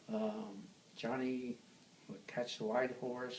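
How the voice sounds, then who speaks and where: A man with an American accent at a medium pitch and moderate pace, his intonation fairly even, amid noticeable background noise and audible room echo. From New York City. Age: 80s+. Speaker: oral history interviewee. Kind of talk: interview.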